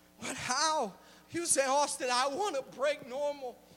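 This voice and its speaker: An extremely high-pitched man speaks in a raised, projected voice at a fairly slow pace. His pitch varies in an ordinary way over noticeable background noise. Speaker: preacher. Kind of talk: sermon. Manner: animated.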